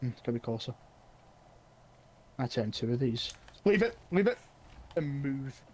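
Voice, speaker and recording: A man speaks at a moderate pace in a medium-pitched, somewhat breathy voice, his intonation lively and broken by long, frequent pauses. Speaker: gaming streamer. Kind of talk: live gameplay stream chat. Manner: halting, repetitive; whispering.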